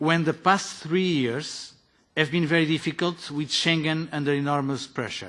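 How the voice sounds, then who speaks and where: A man with a Portuguese accent talks at a fairly slow pace and a fairly high pitch. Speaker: politician. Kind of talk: formal committee speech. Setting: parliamentary committee meeting. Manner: formal.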